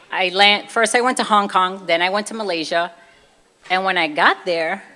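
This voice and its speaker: Here a woman speaks in a Brooklyn accent. Her pitch is medium. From US Northeast, Brooklyn, New York. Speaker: convert giving her testimony. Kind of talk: testimony. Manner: casual, conversational.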